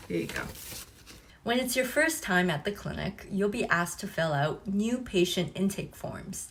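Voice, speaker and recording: A woman with an ordinary speaking voice talks at a moderate pace, her medium pitch carried by lively intonation. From China (Guangzhou), moved to Canada as adult. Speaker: nurse. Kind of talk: tutorial. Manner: clear, explanatory.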